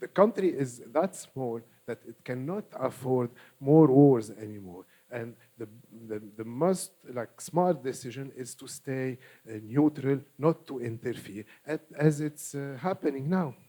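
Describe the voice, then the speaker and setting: A man with an Arabic accent speaks at a fairly slow pace in a medium pitch, his tone dark and mellow, with ordinary pitch variation. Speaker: political party official. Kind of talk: panel discussion. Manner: hesitant, many fillers.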